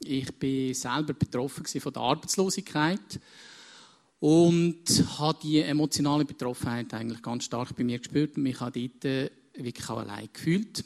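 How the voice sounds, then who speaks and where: An ordinary speaking voice from a man, fairly high in pitch, with ordinary pitch variation, a moderate pace and a dry, close sound with no echo. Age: 50s. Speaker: counselor and business consultant. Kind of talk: onstage interview.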